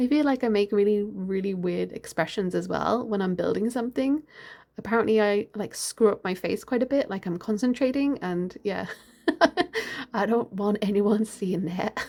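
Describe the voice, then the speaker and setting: In a British accent, a woman talks at a moderate pace with a dark, mellow tone. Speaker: gaming YouTuber. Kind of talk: gameplay voiceover. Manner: casual, hesitant with fillers.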